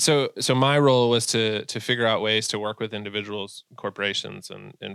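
In a very clean recording with a silent background, a man with an American accent speaks at a fairly low pitch and a moderate pace, his tone bright and sharp and his intonation fairly even. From Massachusetts, US. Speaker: online gear retailer owner and bird hunter. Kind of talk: casual interview.

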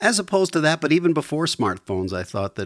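The pitch swings very widely at a fairly quick pace. The sound is dry and close with no echo, in a very clean recording with a silent background. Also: man. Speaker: musician. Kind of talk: casual chat.

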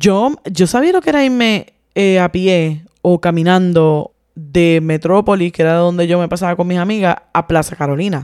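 A woman speaks in a plain, everyday voice at medium pitch and a moderate pace, with lively intonation and a dry, close sound with no echo. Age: 40s. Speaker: podcast co-host. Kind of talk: casual chat.

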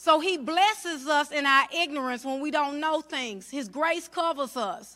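Pitched high, a woman projects a raised voice with a bright, sharp tone, lively intonation and an animated delivery, speaking at a fairly slow pace with hardly any pauses. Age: 40s. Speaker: minister. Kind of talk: sermon.

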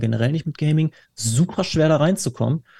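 With a dark, mellow tone and a somewhat breathy quality, a man speaks at a moderate pace with ordinary pitch variation in a dry, close sound with no echo. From Dortmund, Ruhr area, Germany. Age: 20s. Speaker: cookbook author, gamer. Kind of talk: casual chat.

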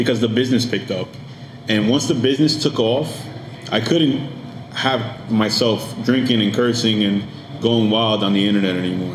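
With an American accent, a man speaks at a medium pitch with ordinary pitch variation amid noticeable background noise. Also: moderate pace. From Paterson, New Jersey, US; Dominican parents. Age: 30s. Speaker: podcast studio owner and producer. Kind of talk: casual interview chat. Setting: studio.

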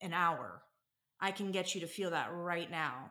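This woman talks fairly slowly in an ordinary speaking voice, her pitch sitting in the medium range. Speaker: paramedic and EMS captain. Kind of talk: interview.

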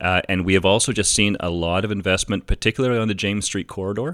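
At a very fast pace, a man speaks with a fairly low pitch on a very clean recording with a silent background. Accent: Canadian. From Canada, Hamilton, Ontario. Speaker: city planning executive. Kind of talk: interview. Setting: at his home.

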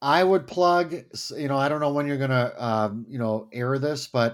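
A man's normal speaking voice, fairly high in pitch, with ordinary pitch variation, on a very clean recording with a silent background. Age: 60s. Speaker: Lutheran pastor. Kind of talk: casual interview.

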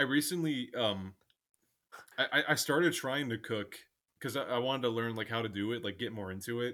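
A man talks at a fairly quick pace in a medium pitch, with an animated tone and ordinary pitch variation. He leaves long, frequent pauses, and the recording is very clean with a silent background. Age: 20s. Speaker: guest, Halloween fan. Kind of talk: casual chat. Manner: animated, joking.

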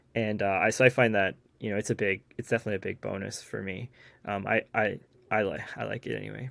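The delivery is very fast and monotone, with flat intonation. Vocal fry runs through it. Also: man, fairly low pitch for a man. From Newfoundland, Canada. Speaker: bag reviewer and photographer. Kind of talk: casual chat.

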